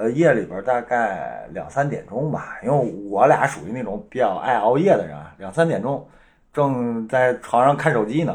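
Over a quiet background, a man of medium pitch talks at a moderate pace with vocal fry. His intonation is lively and his loudness swings widely. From Northeast China. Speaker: guest, husband of the main guest. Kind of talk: casual chat.

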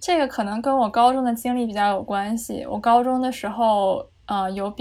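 A woman talks with an ordinary speaking voice. Her pitch variation is ordinary. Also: very clean recording, silent background. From Beijing, China. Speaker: psychology graduate. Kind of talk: casual chat.

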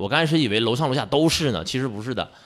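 Speaking with a Northeastern Chinese accent, a man uses a medium pitch on a very clean recording with a silent background. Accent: Northeastern Mandarin. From Northeast China, Jiamusi, Heilongjiang. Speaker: adventurous traveler. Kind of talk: casual chat. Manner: animated.

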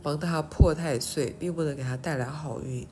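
A woman with a very deep, low pitch sounds somewhat breathy amid audible room echo. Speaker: podcaster. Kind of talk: casual monologue. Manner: halting.

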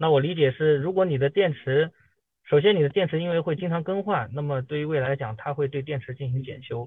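A man with a plain, everyday voice talks at a fairly quick pace. His pitch is fairly high, with ordinary variation. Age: 30s. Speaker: car owner, auto supply chain worker. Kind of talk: casual chat. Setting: online meeting.

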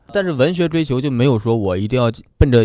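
Lively intonation marks this man's very fast speech. The recording is very clean, with a silent background. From Heilongjiang, northeast China. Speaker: stand-up comedian. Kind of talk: casual chat.

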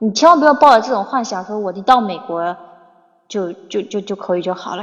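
Her voice is an unremarkable speaking voice, pitched fairly high for a woman with ordinary variation. She talks at a fairly quick pace. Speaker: English teacher. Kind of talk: livestream chat. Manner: casual, filler-heavy.

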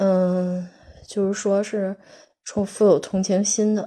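A woman speaks at medium pitch in a dark, mellow tone. Her intonation is monotone and flat. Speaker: solo podcaster. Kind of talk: monologue. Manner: halting.

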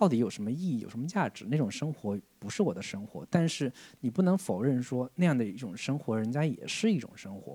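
A man with a medium-pitched, dark, mellow voice talks fairly quickly, his pitch swinging very widely and his loudness shifting a lot. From Jiangsu-Zhejiang region, China. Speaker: film podcast host. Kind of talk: casual chat.

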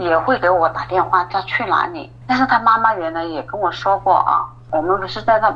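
The speaker talks at a moderate pace with lively intonation. Noticeable background noise is present. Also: woman. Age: 40s. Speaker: office clerk telling her marriage story. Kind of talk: personal testimony in a call-in interview.

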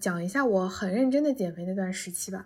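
A woman talks at a moderate pace in a somewhat breathy voice with ordinary pitch variation. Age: 20s. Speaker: interviewee. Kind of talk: personal testimony.

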